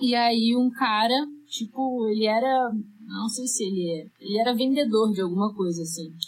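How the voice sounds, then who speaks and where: A woman with a Rio de Janeiro accent speaks at a fairly high pitch and a moderate pace, with ordinary pitch variation. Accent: carioca. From Rio de Janeiro, Brazil. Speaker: singer-songwriter. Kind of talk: casual interview chat.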